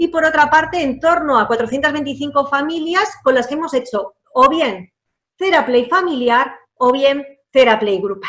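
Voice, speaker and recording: Intonation stays lively while the words come at a moderate pace. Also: woman, high pitch for a woman. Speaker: psychologist heading an adoption support service. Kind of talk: online talk. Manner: halting, with fillers and restarts.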